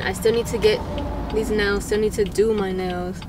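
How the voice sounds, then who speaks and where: A woman speaks at a moderate pace. The sound is dry with no echo, but the background noise is loud. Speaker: vlogger. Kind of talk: casual vlog chat. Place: car.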